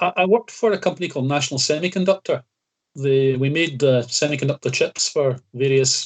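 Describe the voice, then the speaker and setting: Somewhat breathy, a man speaks at a moderate pace and medium pitch. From Scotland, Greenock (west coast). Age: 60s. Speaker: retired county badminton player. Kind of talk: casual interview chat. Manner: halting, many fillers.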